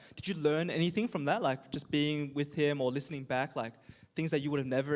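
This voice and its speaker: On a very clean recording with a silent background, a man with an Australian accent speaks at a fairly high pitch with fairly even intonation. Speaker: youth group host and singer. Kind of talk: casual panel chat.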